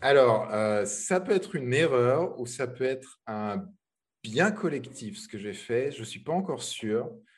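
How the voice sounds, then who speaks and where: Lively intonation at a very slow pace against a quiet background. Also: man. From France. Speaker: web developer. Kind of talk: interview. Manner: halting, many repetitions.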